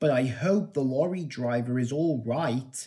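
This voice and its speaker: A put-on character voice at a moderate pace. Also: man, medium pitch for a man. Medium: audio drama.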